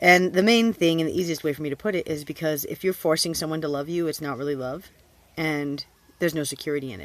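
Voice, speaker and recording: A woman's very deep, low pitch at a very fast pace, with ordinary pitch variation, big swings in loudness and a dry sound with no echo. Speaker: Bible study teacher. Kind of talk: Scripture reading and prayer. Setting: self-recorded video. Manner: informal, unscripted. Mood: calm, reverent. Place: home room. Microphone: phone near.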